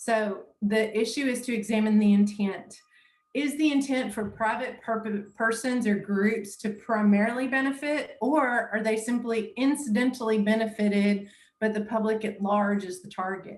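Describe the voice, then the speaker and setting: A woman speaks at a fairly high pitch and moderate pace. Her voice is somewhat breathy, with fairly even intonation. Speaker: municipal law trainer. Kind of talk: lecture.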